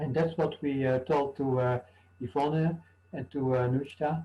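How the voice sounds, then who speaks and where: A man talks at a fairly slow pace with a non-native accent and a fairly high pitch. His voice is somewhat breathy, with a dark, mellow tone. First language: not English. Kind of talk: panel discussion. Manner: halting.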